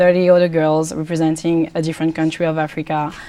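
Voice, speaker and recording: This woman has a French accent and a dark, mellow tone. She talks at a very fast pace. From France. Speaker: pageant contestant and student. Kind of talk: TV interview.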